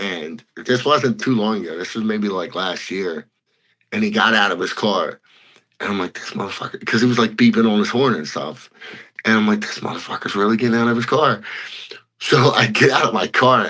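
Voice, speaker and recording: A man with an American accent talks at a fairly quick pace in an ordinary speaking voice, medium in pitch with ordinary pitch variation. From Philadelphia / New Jersey area, US. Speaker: bare-knuckle fighter. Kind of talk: interview, casual chat.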